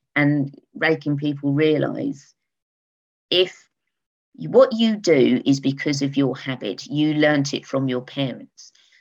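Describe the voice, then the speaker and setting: Her pitch is very deep and low. This woman uses very wide pitch swings. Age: 50s. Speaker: eco products business owner. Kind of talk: casual interview.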